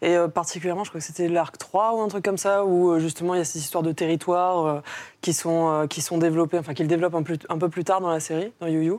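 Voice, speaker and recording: Very fast delivery comes with ordinary pitch variation. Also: woman. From Mauritius. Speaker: comics author and film and comics teacher. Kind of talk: casual panel discussion.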